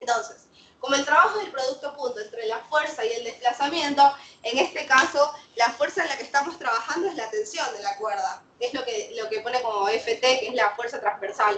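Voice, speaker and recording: Bright and sharp, a woman's high voice moves at a fairly quick pace with lively intonation. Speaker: physics teacher. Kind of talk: lecture.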